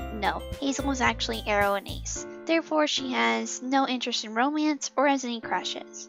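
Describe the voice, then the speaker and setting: Background music plays throughout. A woman's voice moves at a moderate pace. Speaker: animation series creator. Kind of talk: casual talk to camera about upcoming series. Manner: informal, self-correcting.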